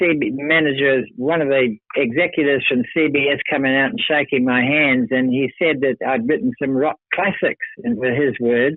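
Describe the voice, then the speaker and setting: Fairly high in pitch, a man speaks with a New Zealand accent. His pace is moderate and his pitch variation ordinary. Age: 70s. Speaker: retired rock organist and songwriter. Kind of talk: interview. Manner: halting.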